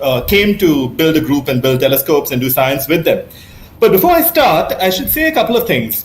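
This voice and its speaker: The man's intonation is lively. Audible room echo surrounds his voice. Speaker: astronomy professor. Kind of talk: lecture. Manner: fast; hesitant, many fillers.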